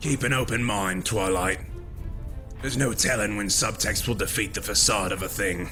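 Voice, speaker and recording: A man performs a cartoonish character voice at a fairly low pitch. Loud music plays in the background. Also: moderate pace. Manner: measured, calm, lofty.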